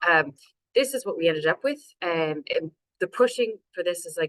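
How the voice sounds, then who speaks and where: A woman with a Canadian accent, recorded with a dry, close sound and no echo, speaks with ordinary pitch variation. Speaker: city council climate action officer. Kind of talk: webinar presentation.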